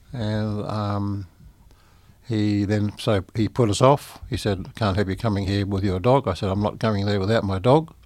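A man speaks with an Australian accent. His pitch sits fairly low and his intonation stays fairly even. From Sydney, Australia. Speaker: recording studio owner, blind musician. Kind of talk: interview. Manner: halting, many fillers.

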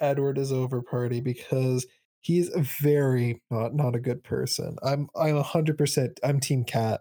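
A man with a medium pitch, a dark, mellow tone and monotone, flat intonation, in a dry, close sound with no echo. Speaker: podcast co-host. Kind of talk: casual chat. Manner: loud.

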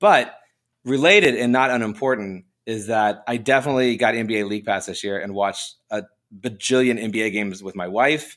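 Against a silent background in a very clean recording, a man with a plain, everyday voice speaks fairly quickly at a medium pitch with ordinary pitch variation. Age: 40s. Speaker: comic book writer and artist. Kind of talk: casual chat.

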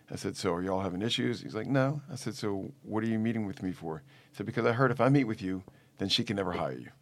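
With vocal fry and a fairly low pitch, a man speaks at a very fast pace and with lively intonation on a very clean recording with a silent background. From New Orleans, Louisiana. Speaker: family law attorney. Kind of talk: interview conversation.

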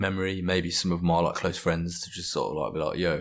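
At a fairly quick pace, a man with a very deep, low pitch speaks in a monotone, flat way in a very clean recording with a silent background. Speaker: podcast guest. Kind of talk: casual chat. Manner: casual, self-deprecating.

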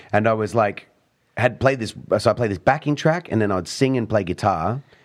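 A man with an Australian accent speaks at a very fast pace. His intonation is lively. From Australia and Italy. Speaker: beatboxer and street performer. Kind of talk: casual chat. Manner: animated.

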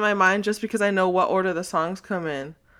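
A woman speaks at a moderate pace with an animated, bright, sharp tone on a very clean recording with a silent background. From Texas. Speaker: podcast guest, fan. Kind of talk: casual chat.

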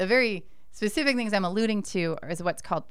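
Over audible room echo, the speaker goes at a very fast pace with ordinary pitch variation. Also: woman. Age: 40s. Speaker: professor. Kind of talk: interview.

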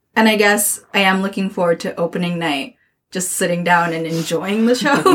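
A woman speaks at a medium pitch. Her pace is moderate and her pitch varies in an ordinary way. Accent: Japanese. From Japan. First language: Japanese. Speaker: theatre artist. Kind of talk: casual chat.

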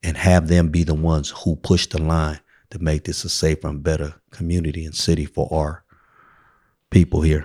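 With a Bay Area accent, a man speaks in a very deep, low pitch and a dark, mellow tone, captured dry and close with no echo on a very clean recording with a silent background. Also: moderate pace. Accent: Bay Area urban American English. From San Francisco, South of Market. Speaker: community organization founder. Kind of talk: casual interview. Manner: animated.

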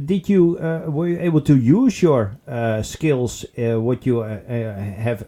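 A man with a Dutch accent, very slow in pace and dark, mellow in tone. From Netherlands. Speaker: podcast co-host, assistive technology worker. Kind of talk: casual chat.

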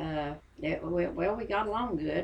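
A woman's fairly low voice with an Appalachian accent, vocal fry and lively intonation at a moderate pace. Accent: Appalachian US Southern. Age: 80s+. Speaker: interviewee, grandmother of host. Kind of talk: personal storytelling.

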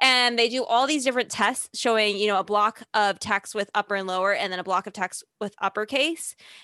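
A woman with a slight Chicago accent speaks at a fairly quick pace in a bright, sharp tone with ordinary pitch variation. The sound is dry and close with no echo, and the background is quiet. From Chicago, US Midwest. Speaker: podcast host. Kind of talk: casual chat.

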